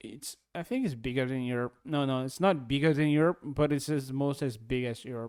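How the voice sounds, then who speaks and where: On a very clean recording with a silent background, a man with a Brazilian Portuguese accent speaks at a fairly quick pace with hardly any pauses. His medium-pitched voice keeps fairly even intonation. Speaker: YouTube reactor. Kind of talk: reaction commentary. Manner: halting.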